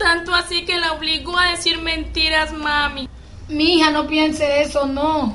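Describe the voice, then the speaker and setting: Over noticeable background noise, a woman projects her extremely high voice at a fairly slow pace, in a monotone, flat intonation and a very even loudness. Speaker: amateur actor playing the young cousin Andrea.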